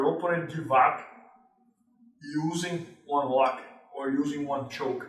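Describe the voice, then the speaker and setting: A man with a Brazilian accent at a moderate pace, with audible room echo. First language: Portuguese. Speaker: jiu-jitsu instructor. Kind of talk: tutorial. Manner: halting.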